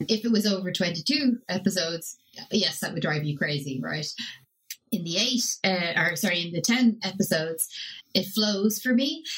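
In a Dublin accent, a woman of medium pitch talks at a moderate pace with lively intonation. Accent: Irish (Dublin). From Ireland. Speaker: podcast guest and TV show reviewer. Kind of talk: casual chat, show review. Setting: remote call from Sardinia.

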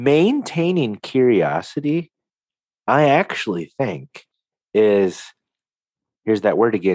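Using very wide pitch swings around a medium pitch, a man speaks at a very slow pace with long, frequent pauses in a dry, close sound with no echo. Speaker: podcast co-host, coach. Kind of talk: casual chat.

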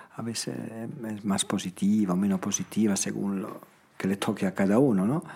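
A man with an Italian accent speaks at a moderate pace in a fairly low pitch, his pitch varying in an ordinary way. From Italy, Emilia mountains near Bologna. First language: Italian (speaking Spanish). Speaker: founder of a children's charity home. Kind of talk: interview conversation. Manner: halting, with frequent repetitions.

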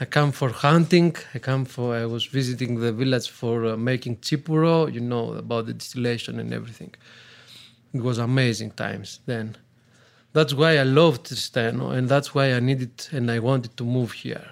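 Speaking at a moderate pace, a man with a Greek accent keeps a medium pitch and fairly even intonation. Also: very clean recording, silent background. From Greece (Athens). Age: 30s. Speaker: taverna owner. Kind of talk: casual interview. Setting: in a village restaurant. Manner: halting, frequent uh fillers.

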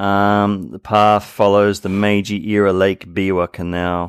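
An Australian accent with ordinary pitch variation, a dry, close sound with no echo, and a very clean recording against a silent background. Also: man. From Sydney, Australia. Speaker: podcast co-host. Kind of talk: casual chat.

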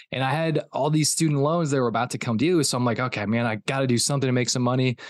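A man with an American accent speaks at a very fast pace against a quiet background. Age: 30s. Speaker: performance coach. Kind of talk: casual interview. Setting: remote call.

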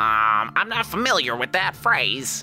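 Putting on a character voice, a man speaks at a fairly slow pace over clear music in the background. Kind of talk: comic voice put on by game master. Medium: actual play. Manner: polite, matter-of-fact.

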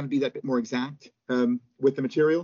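A man with an American accent talks at a very fast pace. His fairly high voice has lively intonation. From US, Pittsburgh, Pennsylvania. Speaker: author and storyteller, former pastor. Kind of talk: interview.

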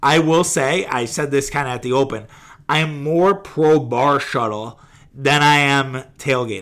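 A man with an American accent uses a normal speaking voice, fairly high in pitch, with ordinary pitch variation. The recording is very clean, its background silent. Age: 30s. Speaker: sports podcast host. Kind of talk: casual solo sports podcast.

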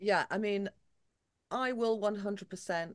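A woman with an American accent speaks at a fairly slow pace in a medium pitch. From England. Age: 50s. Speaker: singer and entertainer. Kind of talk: casual interview chat. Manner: animated.

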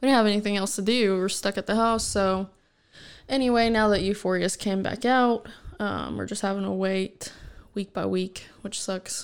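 An ordinary speaking voice from a woman at medium pitch and moderate pace, on a very clean recording with a silent background. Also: fairly even intonation. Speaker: host's fiancée. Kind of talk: casual chat. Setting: home recording with headphones. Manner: giggly, laughs often.

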